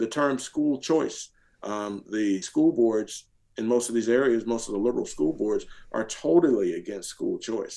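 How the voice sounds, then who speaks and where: Here is a man with an American accent. His pitch sits in the medium range. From US South. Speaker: retired military officer and political activist. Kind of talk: podcast interview. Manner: fast.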